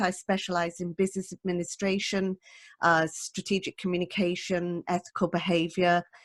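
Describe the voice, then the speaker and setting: In a dry, close sound with no echo, a woman with a British accent speaks at a medium pitch and a moderate pace. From Britain. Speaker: management consultant. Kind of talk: panel introduction. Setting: video call.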